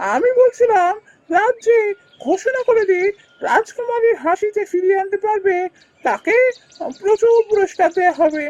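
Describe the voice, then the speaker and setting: The pitch is extremely high in this cartoonish character voice. It moves at a moderate pace. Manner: respectful, anxious.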